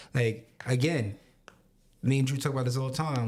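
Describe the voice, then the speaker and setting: Fairly quick and somewhat breathy, a man with an American accent speaks at a medium pitch with fairly even intonation. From Long Island, New York. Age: 30s. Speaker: podcast co-host. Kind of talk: casual chat.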